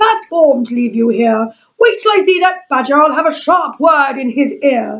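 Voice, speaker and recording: A woman's put-on character voice at a high pitch and a moderate pace. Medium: read story. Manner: proper, well-spoken.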